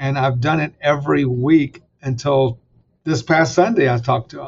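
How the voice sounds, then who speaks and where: Somewhat breathy, a man speaks at a fairly high pitch with fairly even intonation. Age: 60s. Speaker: seminary president and author. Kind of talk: interview about faith and his book.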